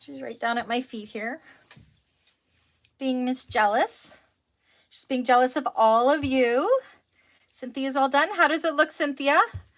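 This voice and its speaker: A woman's mumbling in a Canadian accent, high-pitched and fairly slow, with ordinary pitch variation, big swings in loudness and long, frequent pauses. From Canada. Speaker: sewing teacher. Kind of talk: live online class. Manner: casual, chatty.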